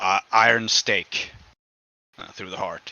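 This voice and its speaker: A man puts on a raspy, gruff character voice. He speaks at a fairly slow pace. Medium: actual play. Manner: grim, gruff.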